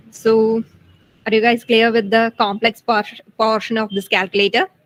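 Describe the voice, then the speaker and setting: A woman with a fairly high pitch and an ordinary speaking voice, fairly even intonation, a moderate pace, and a dry, close sound with no echo. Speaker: student tutor. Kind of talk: tutorial.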